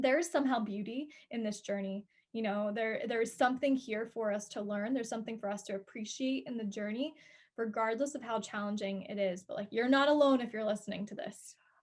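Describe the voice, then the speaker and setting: At a fairly quick pace, a woman speaks somewhat breathily at a fairly high pitch with ordinary pitch variation. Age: 20s. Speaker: guest, yoga teacher and speaking coach. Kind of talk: casual chat.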